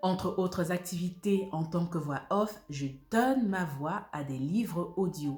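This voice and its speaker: With music in the background, the speech moves at a very slow pace with ordinary pitch variation. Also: woman, fairly low pitch for a woman. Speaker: voice-over actress, audiobook narrator. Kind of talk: book review presentation to camera.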